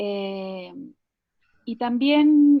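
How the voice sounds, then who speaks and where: A woman speaks at a high pitch. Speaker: psychologist and art therapist. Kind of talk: online talk. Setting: video call. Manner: hesitant, many fillers.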